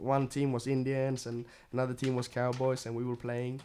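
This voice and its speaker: In a Swedish accent, a man talks with a dark, mellow tone at a medium pitch. His intonation is monotone and flat. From Sweden. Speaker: guest of a radio show, member of a Swedish family. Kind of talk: casual chat.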